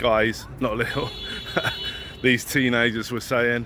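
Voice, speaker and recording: A man's moderate pace over noticeable background noise. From England. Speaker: YouTuber. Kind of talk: vlog monologue. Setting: outdoors and on a train, walking. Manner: casual, sweary.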